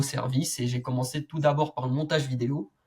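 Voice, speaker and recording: A man speaks at a fairly high pitch in a somewhat breathy voice. His intonation is fairly even and his pace moderate. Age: 20s. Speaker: young entrepreneur and medical student. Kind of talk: interview conversation.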